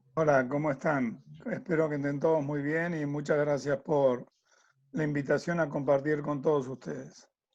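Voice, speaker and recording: A man with an Argentine accent speaks at a moderate pace with a fairly high pitch and fairly even intonation. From Argentina. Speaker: tennis coach and sports consultant. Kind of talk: interview.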